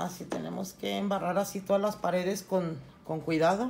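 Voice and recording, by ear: Over faint background noise, a woman with a fairly low pitch, slightly mellow tone and vocal fry speaks at a moderate pace with fairly even intonation.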